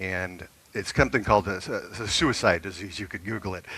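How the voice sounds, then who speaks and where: A man with an American accent speaks at a moderate pace in a fairly low pitch, his tone bright and sharp and his pitch varying in an ordinary way, on a very clean recording with a silent background. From US Pacific Northwest. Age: 60s. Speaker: retiree living abroad. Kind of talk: interview.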